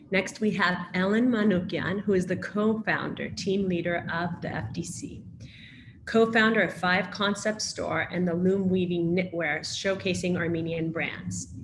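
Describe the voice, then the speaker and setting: Against audible room echo, a woman with an American accent speaks fairly slowly at a medium pitch, with vocal fry and fairly even intonation. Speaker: panel moderator. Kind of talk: moderated panel discussion, reading speaker introductions.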